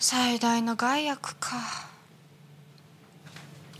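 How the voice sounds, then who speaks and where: Light background noise fills the recording. A woman talks with lively intonation. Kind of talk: acted dialogue, musing to himself. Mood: wry, reflective murmur. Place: bar.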